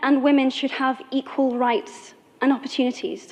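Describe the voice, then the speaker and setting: A woman with a British accent speaks very slowly in a high pitch. Her tone is passionate. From England. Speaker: actor. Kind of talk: public speech. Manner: passionate, eloquent.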